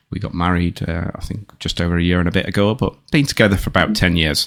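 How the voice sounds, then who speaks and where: The speaker is a man with a northern English accent. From northern England. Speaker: product manager. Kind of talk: casual interview. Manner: hesitant, many fillers.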